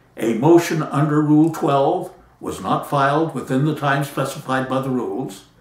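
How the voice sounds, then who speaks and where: A man's fairly high voice moves at a moderate pace and ordinary pitch variation, with noticeable background noise behind him. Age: 80s+. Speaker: patent attorney. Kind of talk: talk to camera.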